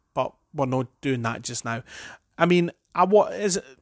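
A man's voice in a dry, close sound with no echo, on a very clean recording with a silent background. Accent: Edinburgh. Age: 30s. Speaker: football fan podcaster. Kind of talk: solo opinion monologue. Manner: hesitant, many fillers and restarts.

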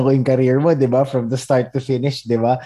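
A man's dark, mellow tone at a medium pitch, with fairly even intonation. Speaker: podcast host. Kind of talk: casual interview chat. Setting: video call.

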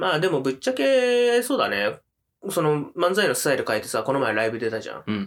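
Talking at a fairly quick pace, a man has a fairly high pitch. His pitch swings very widely. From Japan, Chiba. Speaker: comedian. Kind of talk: casual chat.

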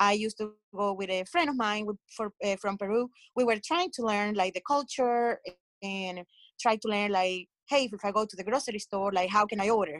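A woman speaks with a coastal Colombian accent at a moderate pace. The sound is dry and close with no echo, and her pitch varies normally. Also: medium pitch for a woman. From Colombia (coast). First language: Spanish. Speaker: podcast panelist, Colombian immigrant. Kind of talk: casual panel discussion.

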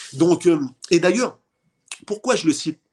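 Pitched high, a man's voice moves with ordinary variation in pitch. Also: dry, close sound with no echo. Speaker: boxing promoter. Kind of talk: casual interview.

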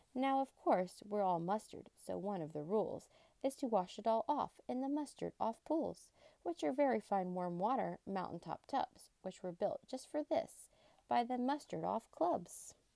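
A woman's animated, playful tone with very wide pitch swings, dry and close with no echo. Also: medium pitch for a woman, moderate pace. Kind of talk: children's book reading aloud. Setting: reading with a young child beside them. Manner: animated, singsong storybook cadence with playful emphasis; warm, engaging, pausing to ask the child to join in.

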